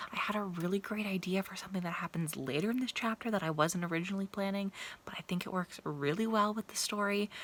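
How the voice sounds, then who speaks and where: A woman with an unremarkable speaking voice, medium pitch and ordinary pitch variation at a fairly quick pace. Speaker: writing vlogger. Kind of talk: vlog diary.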